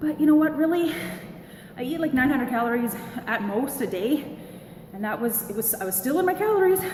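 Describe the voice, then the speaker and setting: A woman with a Canadian accent talks at a fairly quick pace, her pitch swinging very widely. Audible room echo and noticeable background noise fill the recording. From Canada, British Columbia. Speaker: vlogger. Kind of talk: casual vlog. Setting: home gym. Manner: loud.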